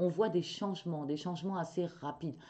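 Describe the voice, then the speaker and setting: A woman at a moderate pace and a fairly low pitch. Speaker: tarot reader and medium. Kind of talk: tarot reading video. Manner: hesitant, many fillers.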